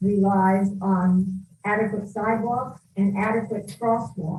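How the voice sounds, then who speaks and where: A woman speaks at a very slow pace. Her voice is somewhat breathy and medium in pitch. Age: 80s+. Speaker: retired citizen giving public comment. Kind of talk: public comment testimony.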